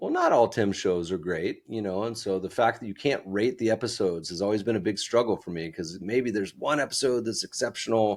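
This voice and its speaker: A man talks fairly quickly, with hardly any pauses, in a fairly low pitch and a plain, everyday voice. His pitch variation is ordinary, and the recording is very clean with a silent background. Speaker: investment fund founder and podcast host. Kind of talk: interview conversation.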